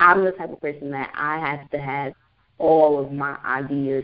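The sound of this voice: A woman's extremely low voice, fairly even in intonation, at a fairly slow pace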